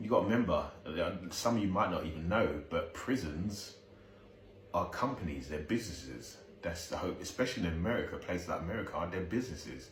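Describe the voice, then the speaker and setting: Over noticeable background noise and audible room echo, a man speaks with lively intonation at a very deep, low pitch. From South East London. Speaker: video commentator. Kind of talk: reaction commentary. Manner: halting, repetitive.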